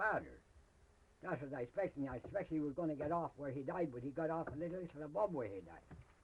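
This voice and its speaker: A fairly high-pitched male voice with vocal fry and lively intonation. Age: old. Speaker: rural elder storyteller. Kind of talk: oral history interview, telling a ghost story. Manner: casual, rustic, folksy.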